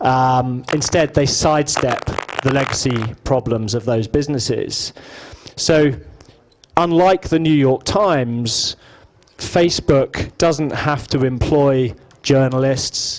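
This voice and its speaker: Over noticeable background noise, a man with a British accent speaks at a very slow pace with long, frequent pauses. His medium pitch shows ordinary variation, and his loudness stays very even. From Britain. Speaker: business executive and conference speaker. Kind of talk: conference presentation. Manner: hesitant, many fillers.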